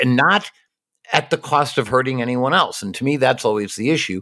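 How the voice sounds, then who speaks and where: Vocal fry from a man at a medium pitch, captured in a very clean recording with a silent background. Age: 50s. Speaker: podcast host. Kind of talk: casual interview conversation.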